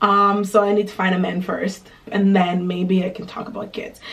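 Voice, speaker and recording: There is noticeable background noise as a woman with a Canadian accent speaks. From Quebec, Canada (family from Burundi). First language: Kirundi. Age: 20s. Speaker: lifestyle and travel vlogger. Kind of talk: casual Q&A vlog.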